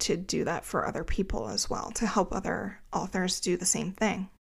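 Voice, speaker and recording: A woman with an American accent talks at a medium pitch with vocal fry and hardly any pauses. The recording is very clean, with a silent background. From New Jersey, greater Philadelphia area. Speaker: podcast host, author, copy editor and book coach. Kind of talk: solo podcast monologue, personal storytelling.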